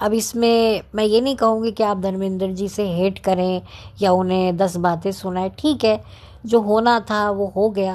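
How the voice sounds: At a fairly slow pace, a woman speaks with a medium pitch and little pitch movement. Her tone is slightly mellow.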